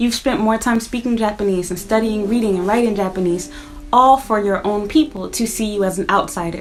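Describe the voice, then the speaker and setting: Very fast speech in an American accent over noticeable background noise. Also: woman. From United States. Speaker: YouTuber, vlogger. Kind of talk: casual vlog monologue. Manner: conversational.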